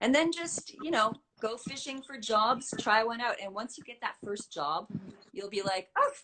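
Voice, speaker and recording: This is an ordinary speaking voice with a Canadian accent at a moderate pace. The intonation is lively, with big swings in loudness. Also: woman, fairly high pitch for a woman. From Canada, Saskatoon. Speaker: voiceover artist. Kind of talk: interview.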